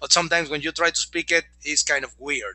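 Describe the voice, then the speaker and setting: A man talks in a Mexican accent. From Mexico. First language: Spanish. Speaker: network marketing presenter. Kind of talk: sales pitch. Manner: animated.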